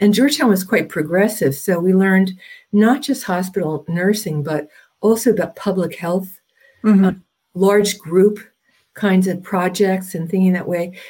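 A woman with an American accent speaks at a moderate pace and a medium pitch. Her tone is dark and mellow, somewhat breathy, with ordinary pitch variation. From US Northeast, New Jersey. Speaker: Jungian analyst. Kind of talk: interview.

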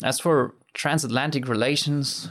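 A man at a fairly slow pace in a very clean recording with a silent background. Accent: German. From southern Germany. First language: German. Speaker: former exchange student. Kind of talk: interview testimony.

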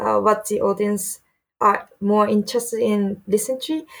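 Speaking with a Japanese accent, a woman uses a fairly high pitch and fairly even intonation. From Japan (Saitama). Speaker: DJ and music producer. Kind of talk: interview. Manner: halting.

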